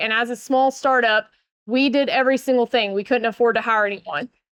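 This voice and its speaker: In a Southern US accent, a woman speaks at a fairly quick pace with a high pitch and ordinary pitch variation. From US South, Northeast Georgia. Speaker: keynote speaker, building industry consultant. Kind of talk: conference keynote.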